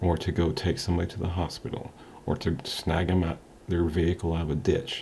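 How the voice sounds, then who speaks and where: Very deep and low, this man's voice has a dark, mellow tone and is somewhat breathy. He speaks with monotone, flat intonation. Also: fairly quick pace. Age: 40s. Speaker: motivational vlogger. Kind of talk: motivational talk to camera. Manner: casual, hesitant with frequent ums.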